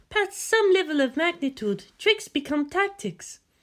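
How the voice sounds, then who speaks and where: Squeaky and female-sounding, this put-on character voice sits at an extremely high pitch. It moves at a moderate pace. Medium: read story. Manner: calm, measured, knowing.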